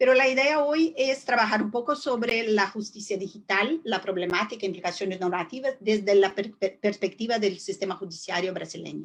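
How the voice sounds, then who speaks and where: This woman speaks with a Portuguese accent at a medium pitch. She hardly pauses, and her pitch varies in an ordinary way. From southern Brazil. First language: Portuguese (speaking Spanish). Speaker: judge and law professor. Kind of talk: webinar lecture. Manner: slow, deliberate; halting, many fillers.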